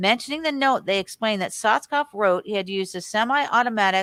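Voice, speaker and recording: On a very clean recording with a silent background and a dry, close sound with no echo, a woman with an American accent and a normal speaking voice talks at a fairly quick pace, her fairly high pitch showing ordinary variation. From California. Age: 60s. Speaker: conspiracy researcher. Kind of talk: reading aloud news articles with commentary.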